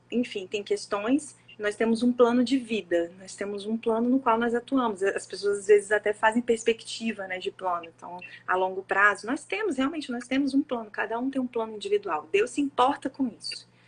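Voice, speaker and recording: A woman with a fairly high pitch and ordinary pitch variation talks with hardly any pauses and big swings in loudness. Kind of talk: sermon-style live talk. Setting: live stream with co-host. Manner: fast.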